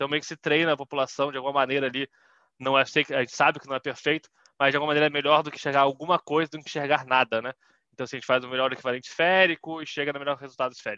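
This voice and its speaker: A fairly high-pitched man's voice, bright and sharp, very fast with fairly even intonation, dry and close with no echo over a quiet background. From Brazil, Petrópolis, Rio de Janeiro state. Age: 20s. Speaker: social entrepreneur. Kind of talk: interview talk.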